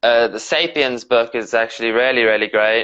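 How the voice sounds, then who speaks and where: Against a quiet background, a man with a slight British accent talks in a bright, sharp tone with monotone, flat intonation. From South Africa and England. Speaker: professional wrestler. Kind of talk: interview. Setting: live stream video call.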